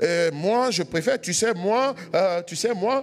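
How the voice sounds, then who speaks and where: A man speaks at high pitch. His pitch swings very widely. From Ivory Coast. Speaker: pastor. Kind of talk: sermon.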